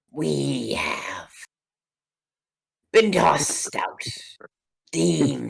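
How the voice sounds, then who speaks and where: Using a put-on character voice, a man speaks raspy and very deep and low, at a very slow pace with long, frequent pauses. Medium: actual play. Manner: rambling, grandiose.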